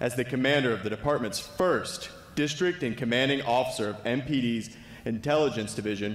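There is audible room echo as a man speaks at a fairly quick pace with ordinary pitch variation. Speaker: speaker. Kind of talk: formal speaker introduction. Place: hall. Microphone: podium.

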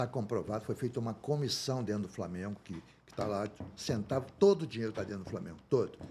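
With lively intonation, a man talks at a fairly quick pace in a normal speaking voice. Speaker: former football club president. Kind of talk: casual interview chat.

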